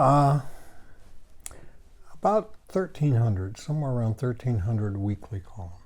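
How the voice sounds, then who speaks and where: A man's medium-pitched, somewhat breathy voice with an American accent, lively intonation, moderate pace and long, frequent pauses. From Washington State. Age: 80s+. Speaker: outdoor writer and show host. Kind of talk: interview.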